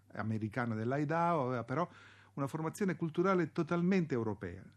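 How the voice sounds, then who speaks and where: A man's intonation is lively, and the background behind him is quiet. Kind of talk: historian's radio commentary introducing archival propaganda clips. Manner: formal, measured, didactic; gravely emphatic when denouncing the propagandists.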